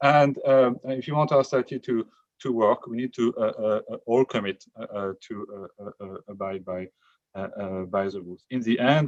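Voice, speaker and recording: At a moderate pace, this speaker with a non-native accent uses lively intonation and big swings in loudness, in a dry, close sound with no echo. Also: man. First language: not English. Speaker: member of the public testifying. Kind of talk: public hearing testimony. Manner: halting, many fillers.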